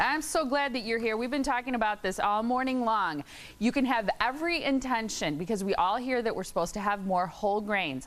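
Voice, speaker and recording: A woman with an unremarkable speaking voice talks at a fairly quick pace, fairly high in pitch, with lively intonation. Her loudness stays very even, and she hardly pauses. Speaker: morning show host. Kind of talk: TV morning show interviewer.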